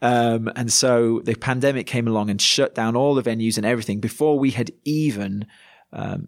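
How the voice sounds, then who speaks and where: In a Yorkshire accent, a man talks at a moderate pace and a medium pitch. His intonation is fairly even, and the recording is very clean, with a silent background. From Yorkshire, northern England. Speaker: pastor. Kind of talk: casual interview.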